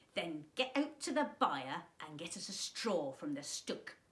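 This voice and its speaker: This put-on character voice sits at a middle pitch and moves fairly slowly. Its pitch swings very widely. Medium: read story. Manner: demanding, cheeky.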